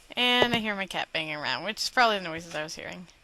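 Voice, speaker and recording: A woman talks at a very fast pace with lively intonation over noticeable background noise. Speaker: gaming video host. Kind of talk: let's play commentary.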